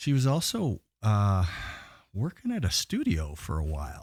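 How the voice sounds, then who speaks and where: A man's somewhat breathy, dark and mellow voice at a fairly slow pace, dry and close with no echo, in a very clean recording with a silent background. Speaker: metal vocalist and record label owner. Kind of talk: casual chat.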